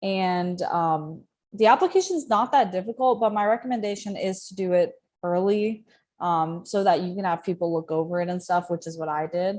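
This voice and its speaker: A woman with an American accent speaks at a moderate pace in an unremarkable speaking voice, her medium pitch showing ordinary variation against a quiet background. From US South, Georgia. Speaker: university student and former space agency intern. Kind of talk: interview.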